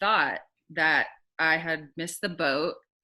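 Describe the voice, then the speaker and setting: Her woman's voice is very deep and low in pitch, bright and sharp in tone, with fairly even intonation at a fairly slow pace over a quiet background. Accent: slight Southern US. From Alabama, US South. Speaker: singer-songwriter. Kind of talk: casual interview chat.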